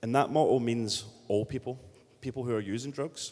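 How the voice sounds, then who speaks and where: Speaking with a strong Scottish accent, a man keeps a medium pitch and fairly even intonation at a fairly quick pace. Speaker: city politician. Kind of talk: panel discussion. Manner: halting, many fillers.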